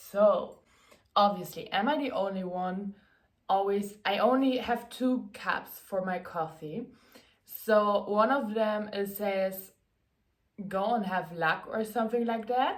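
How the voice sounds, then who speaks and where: A woman's medium-pitched voice with a German accent, very slow pace and ordinary pitch variation. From Germany. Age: 20s. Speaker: content creator and athlete. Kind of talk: casual Q&A vlog.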